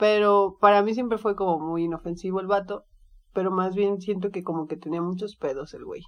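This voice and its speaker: Over a quiet background, a woman with a plain, everyday voice talks at a medium pitch and a fairly quick pace, her intonation fairly even but her loudness swinging widely. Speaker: podcast co-host. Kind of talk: casual chat.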